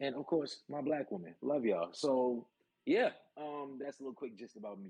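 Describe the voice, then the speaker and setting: A man with a New York accent talks at a moderate pace in a fairly high pitch, his loudness swinging widely while his pitch varies in an ordinary way. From New York City, Brooklyn. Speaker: pro wrestler and navy cook. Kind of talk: casual chat. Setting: live stream.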